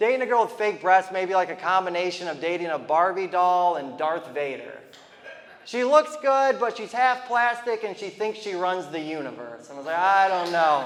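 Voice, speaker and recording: This man's voice sits high in pitch and swings very widely up and down at a moderate pace, with noticeable background noise and audible room echo. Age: 30s. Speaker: stand-up comedian. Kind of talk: stand-up.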